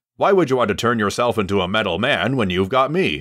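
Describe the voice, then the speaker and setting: A growling, put-on character voice from a man, medium in pitch, at a very fast pace. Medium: voice reel.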